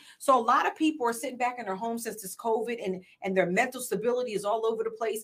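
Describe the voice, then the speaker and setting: This woman has a fairly high pitch. She talks at a very fast pace. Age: 40s. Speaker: podcast host and business coach. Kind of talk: casual interview chat. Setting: podcast studio.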